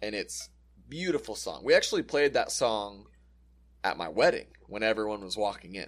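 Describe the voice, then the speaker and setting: At a moderate pace, a man speaks. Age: 20s. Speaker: podcast co-host, youth worker. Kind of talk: casual chat.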